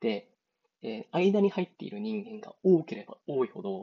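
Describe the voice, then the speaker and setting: A man's voice with very wide pitch swings. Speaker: podcast host. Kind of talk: solo podcast monologue, casual. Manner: halting, filler-heavy, rambling.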